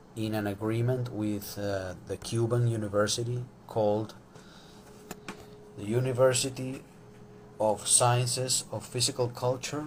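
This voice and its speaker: At a fairly slow pace with long, frequent pauses, a man speaks at a medium pitch with fairly even intonation over noticeable background noise. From Venezuela. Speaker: sport psychologist. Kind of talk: live social media talk. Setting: Instagram live stream. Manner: hesitant, many fillers.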